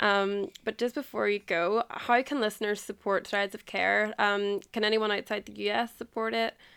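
Spoken in an Irish accent at a moderate pace with hardly any pauses and fairly even intonation, the very clean recording has a silent background and a dry, close sound with no echo. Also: woman, medium pitch for a woman. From Ireland. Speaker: podcast host. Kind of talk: casual interview chat.

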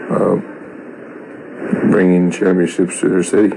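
The man has a very deep, low pitch. Noticeable background noise runs under his voice. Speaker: father of NFL rookie. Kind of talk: recorded voice clip opinion.

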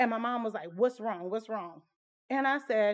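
Heard over a quiet background, a woman with a Louisiana accent speaks at a high pitch. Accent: Southern US (Louisiana). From Southwest Louisiana, US South. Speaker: podcaster, army veteran. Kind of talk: casual personal storytelling.

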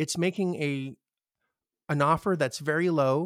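A man with a Canadian accent speaks in an unremarkable speaking voice at a fairly high pitch with ordinary pitch variation. The sound is dry and close with no echo, on a very clean recording with a silent background. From Canada. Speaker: real estate investor. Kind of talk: interview.

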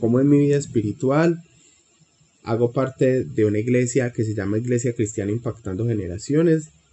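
The voice is a man's and somewhat breathy. He talks at a moderate pace with ordinary pitch variation. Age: 30s. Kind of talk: casual interview.

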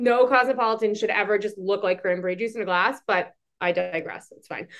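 A woman with a Boston accent, fairly high pitch and ordinary pitch variation. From Boston, Massachusetts. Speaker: podcast co-host, hospitality industry. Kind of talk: casual chat. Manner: animated.

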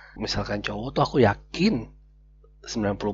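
A man speaks quietly at a moderate pace. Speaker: podcast co-host. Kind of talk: casual chat. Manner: speaking quietly.

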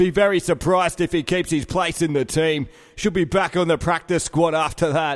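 In a strong Australian accent, a man with a high pitch talks at a moderate pace, keeping his intonation fairly even and his loudness very even. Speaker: comedy sports commentator. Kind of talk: casual comedic chat.

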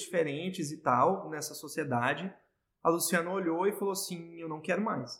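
A man speaks at a high pitch. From Brazil, Goiás. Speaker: entrepreneur, business partner. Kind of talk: casual interview.

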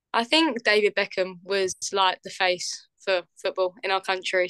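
A woman's medium-pitched voice, bright and sharp in tone, with an English accent. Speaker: professional footballer. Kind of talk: interview.

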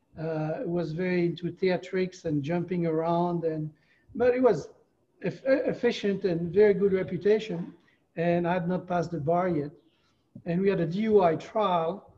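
Here a man speaks with a French accent at high pitch. His pace is moderate and his pitch variation ordinary. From France. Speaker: retired attorney. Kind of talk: interview. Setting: video call.

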